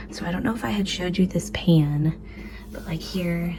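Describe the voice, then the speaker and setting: A quiet woman's voice at a moderate pace, with noticeable background noise. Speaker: frugal living vlogger. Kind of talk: casual vlog tutorial.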